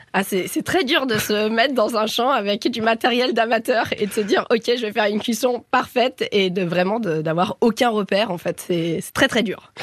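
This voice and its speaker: The speaker has an animated tone and lively intonation, with hardly any pauses and noticeable background noise. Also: woman, fairly high pitch for a woman, moderate pace. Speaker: cooking competition contestant. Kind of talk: interview. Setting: studio.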